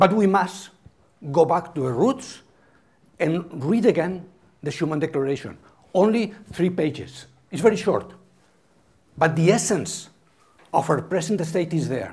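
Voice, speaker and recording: This man's voice sits high in pitch, with ordinary pitch variation. He speaks at a fairly slow pace, leaving long, frequent pauses. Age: 70s. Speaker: architecture critic. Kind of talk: lecture. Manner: halting.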